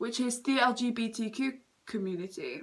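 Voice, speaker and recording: A woman's high-pitched voice with a British accent and ordinary pitch variation. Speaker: makeup vlogger. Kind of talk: get-ready-with-me vlog chat. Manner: stutters, halting.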